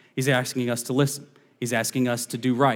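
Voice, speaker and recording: A man speaks at a very fast pace with an American accent. His pitch sits in the medium range. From northern US. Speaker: associate pastor. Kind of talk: sermon. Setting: church.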